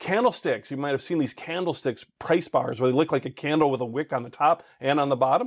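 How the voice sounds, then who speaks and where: A man talks at a very fast pace. His tone is animated. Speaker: online course instructor. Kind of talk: tutorial.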